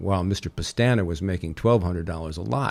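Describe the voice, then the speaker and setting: In an American accent, a man talks at a fairly quick pace with ordinary pitch variation on a very clean recording with a silent background. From US West Coast, San Francisco Bay Area. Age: 60s. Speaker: real estate developer and company chairman. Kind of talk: interview. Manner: articulate.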